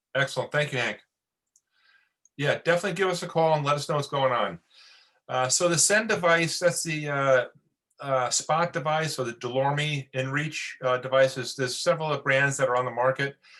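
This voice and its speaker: Pitched fairly high, a man speaks in a bright, sharp tone at a fairly quick pace, with ordinary pitch variation and long, frequent pauses. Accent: New York. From New York. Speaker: Coast Guard officer. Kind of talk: webinar briefing. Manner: fast.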